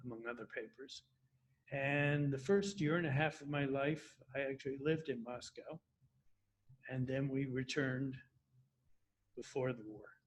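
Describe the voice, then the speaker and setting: The voice is somewhat breathy, with long, frequent pauses. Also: man, fairly high pitch for a man, fairly even intonation, moderate pace. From US, Washington DC suburbs, Virginia. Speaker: retirement community resident. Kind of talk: interview.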